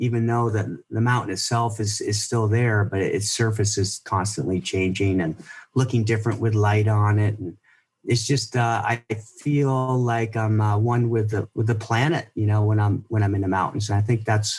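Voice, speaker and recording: Speech comes at a moderate pace with fairly even intonation and a somewhat breathy quality. The recording is very clean, the background silent. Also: man, fairly low pitch for a man. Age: 60s. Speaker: ski filmmaker and skier. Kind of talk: interview. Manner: halting, many repeated words.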